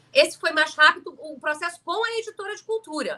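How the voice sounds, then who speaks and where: A woman talks at a very fast pace with a raised, projected voice. Her intonation is lively. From Rio de Janeiro, Brazil. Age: 60s. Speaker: author and storyteller. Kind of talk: live stream chat about her book. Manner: informal, conversational.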